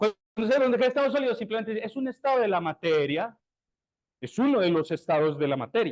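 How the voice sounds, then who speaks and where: This man speaks with a high pitch at a fairly quick pace. His pitch swings very widely. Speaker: university lecturer. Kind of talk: lecture. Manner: animated.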